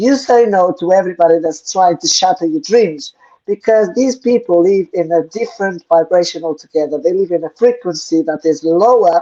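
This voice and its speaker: At a moderate pace and with hardly any pauses, a woman speaks at a medium pitch. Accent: non-native. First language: not English. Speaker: co-host of spiritual Q&A show. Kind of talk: live Q&A stream, spiritual talk. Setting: live online stream.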